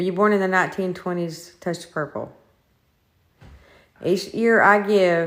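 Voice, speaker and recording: A woman is speaking in a fairly low voice. Her intonation stays fairly even. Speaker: paranormal investigator. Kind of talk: live-streamed ghost investigation. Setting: inside a house, live stream.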